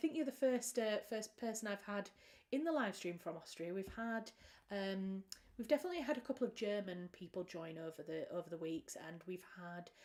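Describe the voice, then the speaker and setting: Fairly quick delivery with a British accent. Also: woman, medium pitch for a woman, lively intonation. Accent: British accent, remarked by a viewer. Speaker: author and writing livestream host. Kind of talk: casual livestream chat. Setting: livestream from home. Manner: warm, chatty.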